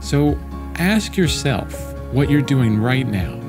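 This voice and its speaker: Over clear background music, a man speaks with very wide pitch swings. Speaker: artist and content creator. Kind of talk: casual talk to camera, motivational. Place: home room. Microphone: studio mic.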